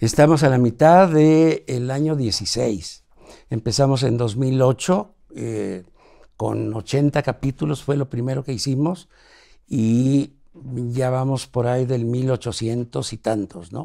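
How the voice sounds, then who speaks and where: With a Mexican accent and a dark, mellow tone, a man speaks at a very slow pace with ordinary pitch variation. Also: medium pitch for a man. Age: 80s+. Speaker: TV producer. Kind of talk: interview.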